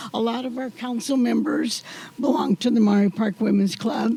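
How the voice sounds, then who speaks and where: A woman talks at a moderate pace in a high pitch. Noticeable background noise runs beneath her. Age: 80s+. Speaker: community volunteer being honored. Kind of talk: acceptance speech.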